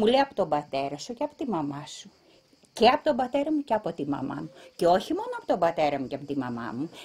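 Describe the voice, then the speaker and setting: Over noticeable background noise, a woman talks at a very fast pace in a fairly low pitch. Her pitch swings very widely and her loudness shifts a lot. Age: 60s. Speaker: descendant of refugees. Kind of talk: interview testimony.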